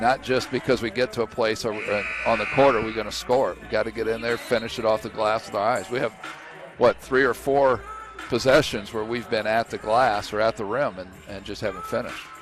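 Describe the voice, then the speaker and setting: Fairly quick, medium-pitched speech from a man, with ordinary pitch variation and music playing behind. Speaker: coach, color commentator. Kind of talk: basketball color commentary.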